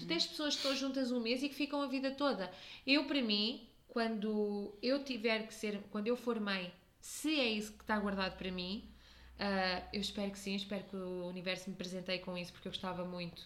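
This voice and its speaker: A woman with a European Portuguese accent speaks at a moderate pace and medium pitch, her pitch varying in an ordinary way. Her loudness swings widely, and audible room echo surrounds her. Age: 30s. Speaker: podcast host. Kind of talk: casual chat.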